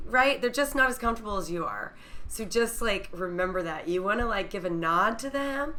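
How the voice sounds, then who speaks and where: Over noticeable background noise, a woman talks with a fairly high pitch and lively intonation. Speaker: podcast host. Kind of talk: casual podcast interview. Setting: remote call.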